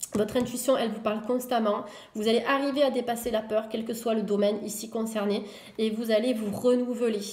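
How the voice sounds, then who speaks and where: Fairly high-pitched woman's voice, fairly quick pace, audible room echo. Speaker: tarot reader. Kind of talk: tarot reading video. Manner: fast; hesitant, many fillers.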